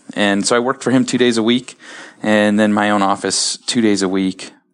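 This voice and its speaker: At a fairly quick pace, a man with an American accent speaks at a medium pitch. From US Midwest, Columbus, Ohio. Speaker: orthodontist and practice owner. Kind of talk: interview.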